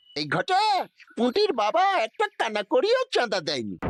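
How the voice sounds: Dry and close with no echo, a man's cartoonish character voice comes at an extremely high pitch and a fairly slow pace.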